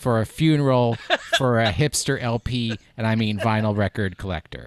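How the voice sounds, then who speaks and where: In a very clean recording with a silent background and a dry, close sound with no echo, a man with an American accent talks at a moderate pace with ordinary pitch variation. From New York. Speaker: podcast co-host. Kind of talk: casual chat. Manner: animated.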